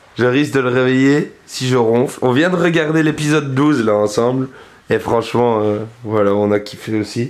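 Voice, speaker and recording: Keeping his loudness very even, a man speaks at a moderate pace in a medium pitch with ordinary pitch variation. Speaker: vlogger. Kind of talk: casual vlog chat. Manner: animated.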